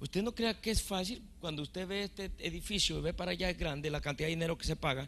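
Talking at a very fast pace with hardly any pauses, a man with a high-pitched voice keeps an animated tone and ordinary pitch variation. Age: 50s. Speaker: pastor. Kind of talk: sermon.

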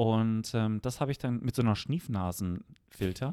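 In a very clean recording with a silent background and a dry, close sound without echo, a man speaks at a fairly slow pace in a dark, mellow tone. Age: young. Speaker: podcast co-host. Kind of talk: casual chat. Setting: holiday house.

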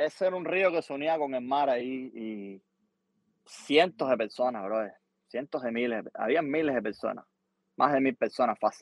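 A man speaks at a moderate pace in a medium pitch, with ordinary pitch variation. He has a normal speaking voice. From Cuba. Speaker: musician and producer. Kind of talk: casual interview.

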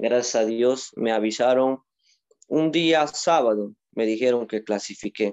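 An ordinary speaking voice from a man, at a fairly slow pace with ordinary pitch variation. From Peru, Moyobamba, San Martín (Amazon region). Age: 20s. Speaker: Olympic weightlifter. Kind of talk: interview.

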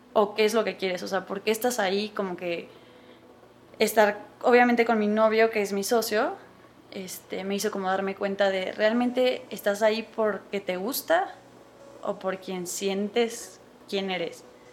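Noticeable background noise sits behind a woman who speaks at a medium pitch and a fairly slow pace with fairly even intonation. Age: 20s. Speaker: pastry chef and business owner. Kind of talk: interview.

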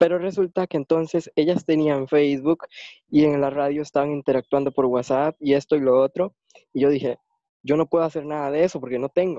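A man's dark, mellow voice at a fairly quick pace, with a dry, close sound and no echo. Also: fairly high pitch for a man, fairly even intonation. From Costa Rica. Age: 20s. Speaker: blind interviewee. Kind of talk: interview. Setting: online call away from home.

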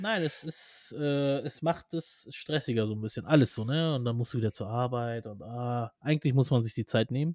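An ordinary speaking voice from a man at medium pitch, with ordinary pitch variation, a moderate pace and hardly any pauses, on a very clean, dry, close recording with a silent background and no echo. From Armenian family, Persian background. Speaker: podcast co-host. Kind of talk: casual chat.

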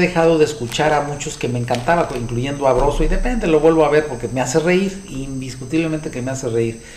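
A man with a Mexican accent, fairly high-pitched with ordinary pitch variation, at a fairly quick pace, amid audible room echo and noticeable background noise. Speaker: podcast host discussing books. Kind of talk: solo monologue commentary. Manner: halting, many fillers and repetitions.

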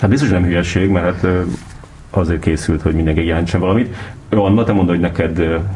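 A man with a very deep, low voice talks at a very fast pace with fairly even intonation and very even loudness, broken by long, frequent pauses, over noticeable background noise. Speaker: podcast host. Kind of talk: casual interview chat. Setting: studio.

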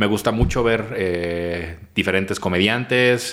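A man speaks with a Mexican accent. His pitch is very deep and low, with ordinary variation. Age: 30s. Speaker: comedian and schoolteacher. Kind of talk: casual chat.

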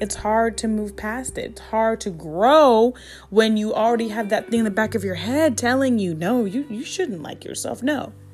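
In an American accent, a woman speaks at a moderate pace with a fairly high, somewhat breathy voice. Her pitch varies in an ordinary way while her loudness swings widely. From US Midwest, Columbus, Ohio. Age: 20s. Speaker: podcast host. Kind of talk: solo podcast monologue.

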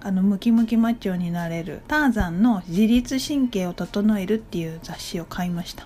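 A woman speaks in a plain, everyday voice at medium pitch. Her intonation is lively and her pace moderate. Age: 30s. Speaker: solo podcaster. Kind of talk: casual monologue.

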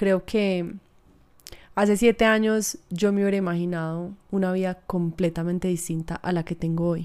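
On a very clean recording with a silent background, an ordinary speaking voice keeps a moderate pace and fairly even intonation. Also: woman, medium pitch for a woman. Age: 20s. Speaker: podcast host. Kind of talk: personal reflection monologue.

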